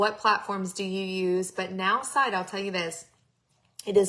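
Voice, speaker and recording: With a Texan accent, a woman speaks in a bright, sharp tone at medium pitch and a moderate pace. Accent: Texan twang. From Texas. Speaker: network marketing coach. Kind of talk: live-streamed training. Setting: live stream. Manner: animated.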